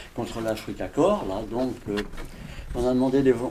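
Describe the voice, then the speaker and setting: Noticeable background noise sits under a man's voice as he speaks at a moderate pace. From France. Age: 90s. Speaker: war veteran. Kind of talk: interview.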